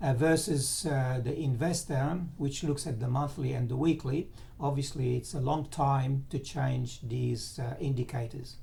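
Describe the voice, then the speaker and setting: With audible room echo, a man with a medium-pitched, somewhat breathy voice speaks at a fairly slow pace and with fairly even intonation. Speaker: financial market analyst. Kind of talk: tutorial. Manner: halting.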